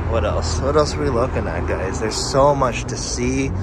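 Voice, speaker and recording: A man's voice in a dry sound with no echo, against loud background noise. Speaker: vlogger filming the car meet. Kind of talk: casual vlog chat. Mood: excited, amused. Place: street. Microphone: phone near.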